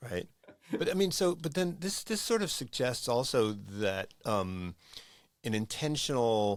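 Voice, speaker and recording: An American-accented man speaks at a fairly slow pace. His voice sits at a medium pitch, yet it moves through very wide pitch swings. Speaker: podcast host. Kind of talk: interview conversation.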